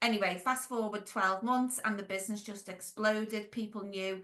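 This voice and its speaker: A Merseyside accent in a bright, sharp tone, with fairly even intonation at a moderate pace. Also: woman. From Merseyside, England (Wirral). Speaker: franchise business owner and consultant. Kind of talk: podcast interview.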